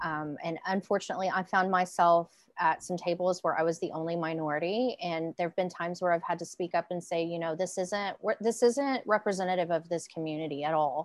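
Speaking fairly quickly, a woman with a Southern US accent has a fairly low pitch and ordinary pitch variation against a quiet background. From Arkansas, US South. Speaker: violence prevention strategist and public speaker. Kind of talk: panel discussion.

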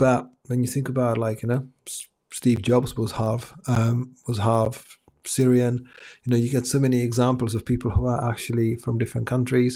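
With a Czech accent, a man speaks at a moderate pace in a dark, mellow tone and a monotone, flat intonation. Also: medium pitch for a man. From Czech Republic. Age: 40s. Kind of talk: interview conversation. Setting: video call. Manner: repetitive false starts.

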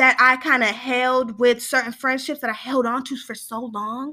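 A woman with an American accent speaks in a raised, projected voice, animated and bright with a sharp tone. Her pace is moderate, and the recording is very clean with a silent background. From Northern California, East Sacramento. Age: 20s. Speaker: podcast host. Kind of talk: casual solo talk. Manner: animated, laughing often.

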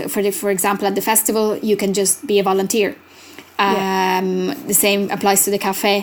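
Noticeable background noise sits under a woman speaking with an Italian accent at medium pitch. Her pace is fairly quick, her intonation monotone and flat, and her loudness very even. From Italy. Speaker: language researcher and arts festival director. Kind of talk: interview. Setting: remote recording.

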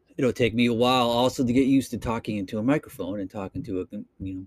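A man with an American accent speaks at a very fast pace and medium pitch, with ordinary pitch variation. The very clean recording has a silent background and a dry, close sound with no echo. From Boston, Massachusetts. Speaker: podcaster. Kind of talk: casual solo monologue podcast. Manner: casual, rambling, with filler words.

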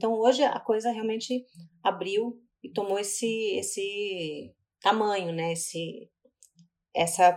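A woman speaks at a medium pitch with ordinary variation in it. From Brazil, Curitiba. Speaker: actress, singer and playwright. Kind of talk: casual interview.

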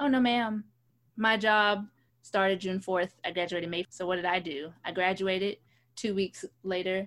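At a moderate pace and medium pitch, a woman talks in an ordinary speaking voice, her pitch varying in an ordinary way. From New York City, the Bronx. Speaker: podcast co-host, actress. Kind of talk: casual chat.

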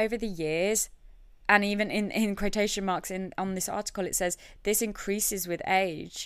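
A woman with a plain, everyday voice speaks at a moderate pace and medium pitch in a very clean recording with a silent background. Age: 20s. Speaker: podcast host. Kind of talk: casual solo monologue.

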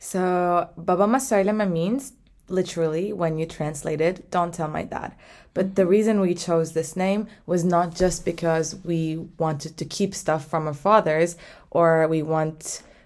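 In a Turkish accent, a woman speaks at a fairly slow pace with a fairly low pitch, on a very clean recording with a silent background. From Turkey. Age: 20s. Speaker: podcast co-host, graduate student. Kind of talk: casual chat.

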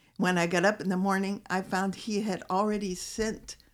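In a very clean recording with a silent background, a woman talks in a normal speaking voice at medium pitch and a moderate pace. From US Midwest, Illinois. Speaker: missionary wife. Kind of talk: casual chat. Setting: studio.

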